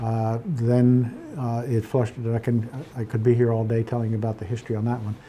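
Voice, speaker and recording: This man talks at a fairly quick pace. His intonation is monotone and flat. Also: medium pitch for a man. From Pennsylvania, Poconos. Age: 70s. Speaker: real estate broker. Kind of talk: interview. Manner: halting, many fillers and repeats.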